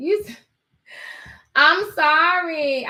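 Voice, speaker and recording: A woman with an American accent uses a raised, projected voice at an extremely high pitch, with a bright, sharp tone and ordinary pitch variation. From New York. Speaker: show host.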